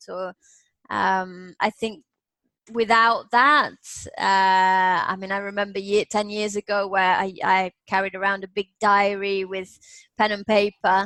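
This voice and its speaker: Her English Midlands accent carries a bright, sharp tone at a medium pitch. The woman speaks at a fairly slow pace in a monotone, flat intonation. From Nottingham, England. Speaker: business English coach. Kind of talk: interview answer.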